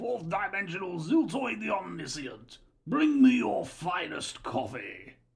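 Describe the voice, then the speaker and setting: A man uses a put-on character voice. His pitch is high and his pace fairly slow. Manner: pompous, commanding.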